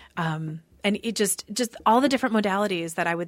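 A woman with an Upper Midwest accent, at a moderate pace with ordinary pitch variation, in a very clean recording with a silent background. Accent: Upper Midwest (Minnesota). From Minnesota, Eden Prairie. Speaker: magazine publisher and psychic medium. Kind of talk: casual interview chat.

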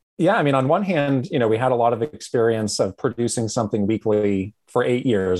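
A man with a normal speaking voice talks at a fairly quick pace, medium in pitch with ordinary pitch variation. The sound is dry and close with no echo, and the background is quiet. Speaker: podcaster, former games industry worker. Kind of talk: casual chat.

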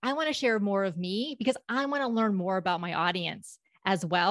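In an American accent, a woman speaks with ordinary pitch variation. The background is quiet, and the sound is dry and close with no echo. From US South, South Florida (Palm Beach County). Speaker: public speaking coach and company founder. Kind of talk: interview.

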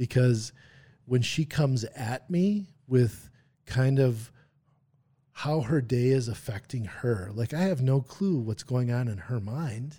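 A man with an American accent speaks very slowly at a medium pitch, his dark, mellow tone somewhat breathy and his pitch varying in an ordinary way, on a very clean recording with a silent background. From Wisconsin, US Midwest. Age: 40s. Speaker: musculoskeletal rehab therapist. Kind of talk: interview conversation.

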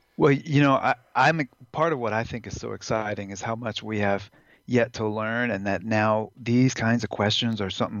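A man talks at a fairly quick pace. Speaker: neurophysiologist, former biology professor. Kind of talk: interview about cannabis science. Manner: halting, with repeated words.

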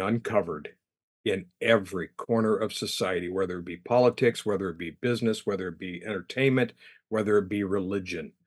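A man speaks in a normal speaking voice, pitched fairly low. His pace is moderate and his intonation fairly even. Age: 60s. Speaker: guest, prayer group member. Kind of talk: casual conversation.

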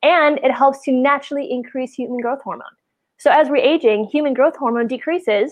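A woman's high-pitched voice with an American accent at a fairly quick pace. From US Midwest, Wisconsin. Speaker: podcast host, health practitioner. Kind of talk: casual chat.

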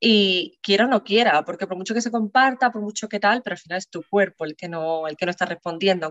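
This woman talks at a fairly quick pace with ordinary pitch variation. The sound is dry and close, with no echo. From Andalusia, Spain (San Fernando, Cádiz). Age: 20s. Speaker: perinatal psychologist. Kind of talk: interview, personal testimony. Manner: hesitant, many fillers.

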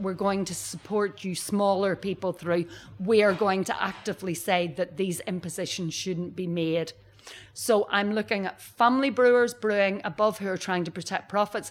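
Pitched in the middle range, a woman talks with fairly even intonation. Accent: Northern Irish. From Northern Ireland. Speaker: brewery director. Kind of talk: interview. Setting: brewery bar.

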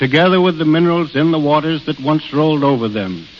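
A man's fairly high voice with ordinary pitch variation, amid noticeable background noise. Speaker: national park superintendent. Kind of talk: radio interview. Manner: plain-spoken, earnest, measured.

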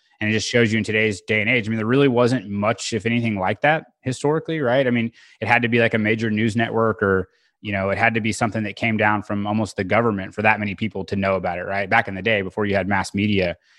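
A man with an American accent, fairly low in pitch, with fairly even intonation, at a very fast pace, over a quiet background. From Oklahoma (Tulsa area). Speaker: energy company co-founder and podcast host. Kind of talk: casual interview chat. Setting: video call.

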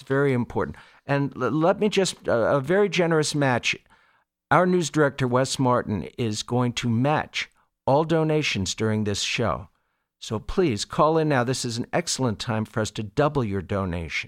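Speaking at a moderate pace with lively intonation, a man with a plain, everyday voice and an American accent stays at a medium pitch in a very clean recording with a silent background. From Long Island, New York. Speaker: radio station volunteer. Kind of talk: fundraising appeal. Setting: radio studio.

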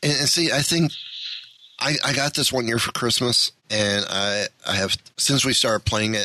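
In a normal speaking voice, the speaker goes at a moderate pace with very even loudness and ordinary pitch variation. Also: man, medium pitch for a man. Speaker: podcast host. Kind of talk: casual interview.

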